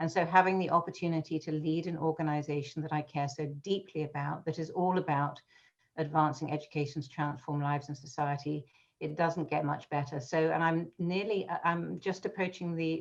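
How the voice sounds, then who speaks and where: With a British accent and a very deep, low pitch, a woman talks at a fairly quick pace with fairly even intonation against a quiet background. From England, London. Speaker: education association executive. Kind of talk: interview conversation. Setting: video call.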